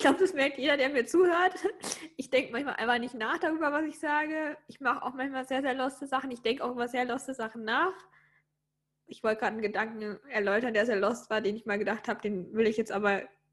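A woman talks at a very fast pace with a high pitch. Her intonation is lively. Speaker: podcast co-host. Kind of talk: casual chat.

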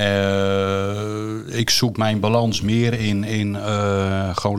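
The man's voice is fairly low in pitch, with monotone, flat intonation. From Netherlands, Drenthe. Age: 40s. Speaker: parent of guest. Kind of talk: casual chat.

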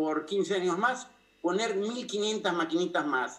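A man talks at a fairly slow pace. His pitch is high for a man. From Argentina, Buenos Aires. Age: 60s. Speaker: political asylum seeker, former official. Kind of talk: interview.

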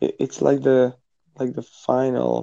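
A man with a Croatian accent in a dry, close sound with no echo. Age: 20s. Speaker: physiotherapy student. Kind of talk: casual chat.

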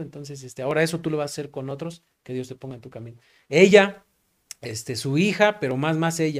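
A man talks at a fairly quick pace with a fairly high pitch, ordinary pitch variation, and big swings in loudness. The recording is very clean, with a silent background. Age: 30s. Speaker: pastor. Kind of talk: casual chat. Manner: halting.

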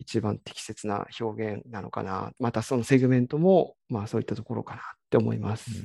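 The voice carries a dark, mellow tone with vocal fry, a fairly quick pace, ordinary pitch variation and big swings in loudness, recorded dry and close with no echo. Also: man, medium pitch for a man. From Kiryu, Gunma, Japan. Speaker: trail runner. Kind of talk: interview.

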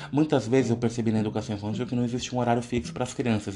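Vocal fry colors a man's dark, mellow tone at a medium pitch, with ordinary pitch variation. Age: 30s. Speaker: psychology student and podcaster. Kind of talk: solo presentation monologue.

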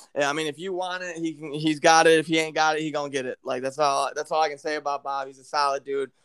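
A man speaks with a Midwestern American accent. His pitch sits fairly high. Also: dry, close sound with no echo. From Michigan. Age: 20s. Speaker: podcast host. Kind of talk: casual chat.

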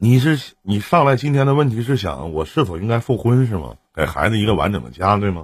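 With a fairly low pitch and a somewhat breathy sound, a man speaks in an animated tone at a fairly quick pace, with hardly any pauses and very wide pitch swings. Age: 40s. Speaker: live-stream relationship advice host. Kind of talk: call-in advice chat. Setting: live stream.

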